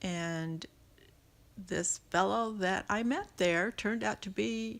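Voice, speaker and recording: A woman's fairly low voice with lively intonation, on a very clean recording with a silent background. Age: 60s. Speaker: grandmother interviewee. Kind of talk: casual interview.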